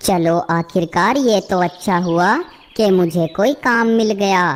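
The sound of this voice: A female-sounding cartoonish character voice speaks at a fairly slow pace and a medium pitch.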